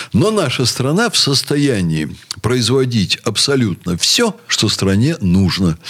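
The speech moves at a very slow pace with very wide pitch swings and very even loudness, over noticeable background noise. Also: man, medium pitch for a man. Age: 60s. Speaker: university rector. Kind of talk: radio talk show discussion.

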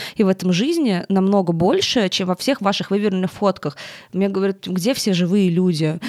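A woman talks very fast at a medium pitch with ordinary pitch variation, the sound dry and close with no echo. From Russia, Tolyatti. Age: 20s. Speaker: media and design executive. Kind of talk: interview.

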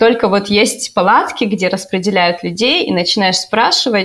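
A woman speaks in a plain, everyday voice at a medium pitch. She has ordinary pitch variation and a moderate pace. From Russia, Novosibirsk. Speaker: volunteer interpreter and university researcher. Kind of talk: casual chat.

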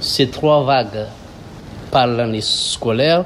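A man speaking very slowly with ordinary pitch variation amid noticeable background noise. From Madagascar. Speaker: diaspora community leader. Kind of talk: interview. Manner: halting.

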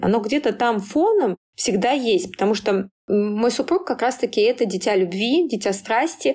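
Speaking at a moderate pace, a woman with an unremarkable speaking voice uses lively intonation at a fairly high pitch. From small town in Tver region, Russia. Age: 30s. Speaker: PR director. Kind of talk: interview.

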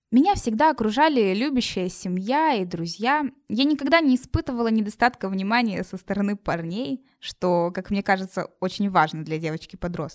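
A woman's plain, everyday voice, fairly high and lively, at a moderate pace, in a very clean recording with a silent background and a dry, close sound with no echo. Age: 20s. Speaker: university student, podcast presenter. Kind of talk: scripted narration.

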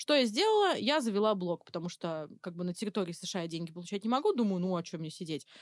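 Recorded very cleanly against a silent background, with a dry, close sound and no echo, a woman talks at a fairly quick pace in a normal speaking voice of medium pitch. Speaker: freelance targeting specialist. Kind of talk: casual chat.

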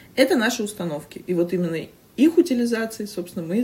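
Somewhat breathy, a woman talks at a fairly quick pace with lively intonation. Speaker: podcast host. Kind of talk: casual chat. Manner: fast.

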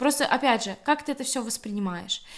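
Her intonation rises and falls in a lively way. The woman is heard over noticeable background noise. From Belarus, Grodno. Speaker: humanitarian aid volunteer. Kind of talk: casual interview.

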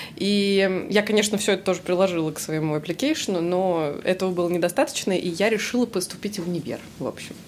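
A woman with a medium-pitched voice talks at a very fast pace. Background noise is noticeable. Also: ordinary pitch variation. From Russia, Samara. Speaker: English teacher. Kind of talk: casual chat.

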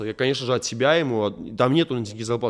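A man with an ordinary speaking voice talks at a fairly quick pace and medium pitch. The recording is very clean, with a silent background. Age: 20s. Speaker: pop MMA fighter and blogger. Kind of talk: casual interview.

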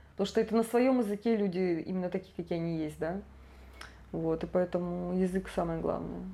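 A woman with an unremarkable speaking voice talks fairly quickly, fairly low in pitch, with ordinary pitch variation. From Siberia, Krasnoyarsk. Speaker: tour guide. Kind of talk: casual interview chat.

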